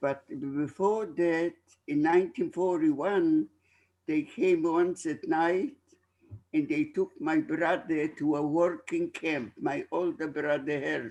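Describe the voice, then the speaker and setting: A man talks at a very slow pace. His voice is high, with ordinary pitch variation. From Poland. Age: 90s. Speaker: Holocaust survivor. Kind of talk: testimony.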